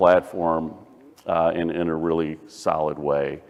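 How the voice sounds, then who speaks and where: This man speaks with a very deep, low pitch. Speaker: bank executive presenting at industry conference. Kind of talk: conference presentation.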